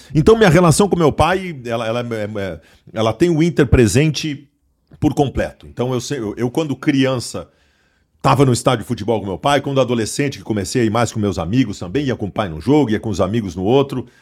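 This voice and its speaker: Against a very clean recording with a silent background, a man with an unremarkable speaking voice talks at a fairly quick pace and medium pitch, his intonation lively. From southern Brazil, Porto Alegre. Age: 40s. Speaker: sports journalist. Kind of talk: casual chat.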